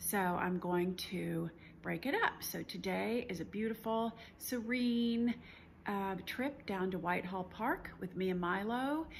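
The speech moves at a fairly slow pace with ordinary pitch variation. Light background noise is audible. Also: woman. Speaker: travel vlogger. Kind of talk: casual vlog chat. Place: home room. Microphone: phone near.

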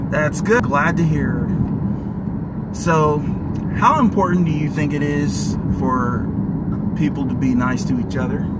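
A man at a fairly slow pace, dry sound with no echo, amid loud background noise. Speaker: live stream host. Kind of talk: casual livestream interview questions. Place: car. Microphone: phone near.

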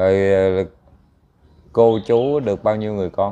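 The speaker is a man with a fairly low pitch. His intonation is fairly even. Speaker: matchmaking show host. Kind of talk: interview. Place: stage.

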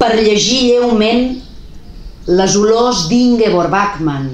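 Amid audible room echo, a woman speaks very slowly with very wide pitch swings. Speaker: poet reading her own work. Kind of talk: poetry reading, spoken word. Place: home room. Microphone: phone near.

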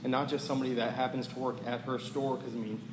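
In an American accent, a man speaks very fast at a medium pitch, with audible room echo and noticeable background noise. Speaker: public commenter, waste company representative. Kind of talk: public comment at council meeting. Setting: town council meeting.

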